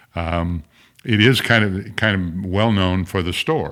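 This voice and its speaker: This man has a very deep, low voice and a Midwestern American accent. He talks at a fairly slow pace with ordinary pitch variation. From southern Illinois, rural German farm community. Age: 80s+. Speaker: former state senator. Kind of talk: interview conversation. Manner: halting, many fillers and repetitions.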